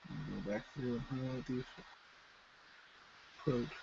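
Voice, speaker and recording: A man mumbling at medium pitch and a very slow pace. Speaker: miniature painting streamer. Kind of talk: live painting tutorial stream. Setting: live stream. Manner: casual, rambling with fillers.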